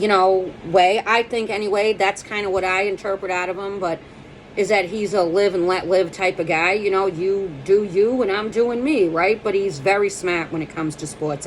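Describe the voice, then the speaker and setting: In an American accent, the voice moves at a moderate pace with ordinary pitch variation. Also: woman. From Boston. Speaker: comedian. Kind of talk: casual monologue to camera. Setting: at home. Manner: jumpy, energetic.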